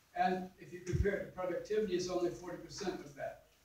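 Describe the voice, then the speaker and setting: The speech comes at a moderate pace, with light background noise and audible room echo. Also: man. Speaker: congressional candidate; candidate. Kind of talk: candidate forum answers and stump-style speech. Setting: candidate forum with moderator questions. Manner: impassioned, fervent. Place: meeting room. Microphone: camera far.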